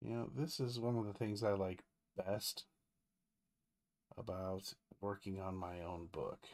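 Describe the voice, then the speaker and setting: A quiet man mumbles at a fairly slow pace with a fairly low pitch and ordinary pitch variation. Long, frequent pauses break up his speech. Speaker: comic book artist and colorist; comic artist. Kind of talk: live-stream tutorial while drawing. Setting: live stream. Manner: quiet, mumbling. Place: home room.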